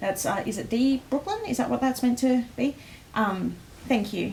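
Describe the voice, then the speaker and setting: Ordinary pitch variation marks a woman's voice, heard over noticeable background noise. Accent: Australian. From Australia. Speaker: livestream host presenting a sticker collection. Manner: energetic, frequent fillers.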